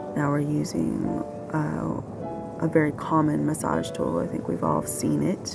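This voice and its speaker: A woman speaks in a soothing, calm tone at a fairly slow pace with hardly any pauses. Music plays in the background. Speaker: massage therapist. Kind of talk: instructional narration.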